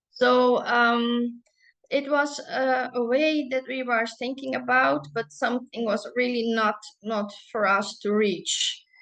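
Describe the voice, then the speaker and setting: A woman with a Dutch accent speaks at a very slow pace. Her pitch is high, with ordinary variation. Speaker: business owner and chocolate maker. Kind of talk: presentation. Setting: online webinar. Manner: halting, many fillers.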